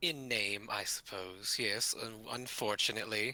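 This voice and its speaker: A man puts on a character voice at a medium pitch. He keeps a moderate pace with ordinary pitch variation. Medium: actual play.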